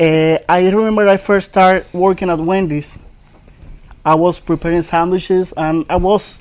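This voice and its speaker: High pitch from a man with a Dominican accent, moderate in pace, with monotone, flat intonation. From Dominican Republic. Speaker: ESL program student. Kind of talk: interview.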